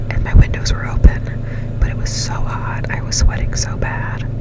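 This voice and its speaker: Over noticeable background noise, a soft-spoken woman whispers at a fairly slow pace. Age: 20s. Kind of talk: casual talk to camera. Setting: parked car with air conditioning running. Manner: whispered, soft-spoken.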